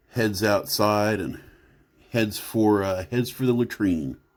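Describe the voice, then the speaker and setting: A man with an American accent speaks at a fairly slow pace. His pitch varies in an ordinary way. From Oklahoma. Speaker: tabletop role-play storyteller. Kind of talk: storytelling narration. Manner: halting, many fillers.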